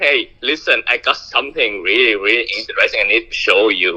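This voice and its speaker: A moderate pace with a Vietnamese accent. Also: man. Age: 20s. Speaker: caller. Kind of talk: phone conversation. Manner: halting.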